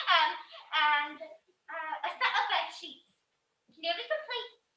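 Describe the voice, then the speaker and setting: A woman speaks in a put-on character voice, squeaky and extremely high-pitched, with lively intonation and cackling at a fairly slow pace. Her loudness swings widely, and there is slight echo. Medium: stage play. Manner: cackling, laughing constantly.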